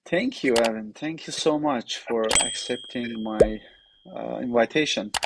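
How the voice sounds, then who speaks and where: A medium-pitched male voice with a Persian accent, a fairly slow pace, ordinary pitch variation and noticeable background noise. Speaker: podcast host. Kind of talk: interview.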